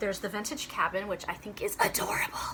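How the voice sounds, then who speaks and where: Fairly quick whispering from a woman, with noticeable noise behind her. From North Texas (Dallas-Fort Worth area). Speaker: shop co-owner and cross-stitch video host. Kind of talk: casual chat.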